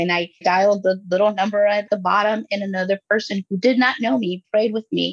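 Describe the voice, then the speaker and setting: A woman with an ordinary speaking voice, medium in pitch, at a moderate pace and with fairly even intonation, in a dry, close sound with no echo. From Los Angeles, raised in Guatemala until eight. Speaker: life coach and podcaster. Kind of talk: casual interview chat.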